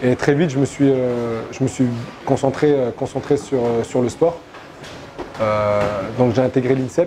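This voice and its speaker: Amid noticeable background noise, a man speaks at medium pitch at a fairly slow pace, with fairly even intonation and long, frequent pauses. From Morocco, Rabat. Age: 20s. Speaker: MMA fighter and coach. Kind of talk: interview. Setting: gym. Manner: halting, many hesitations.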